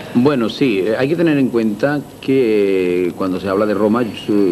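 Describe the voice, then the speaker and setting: Noticeable background noise behind a male speaker at a moderate pace. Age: 60s. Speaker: restaurateur. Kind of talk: interview. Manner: halting.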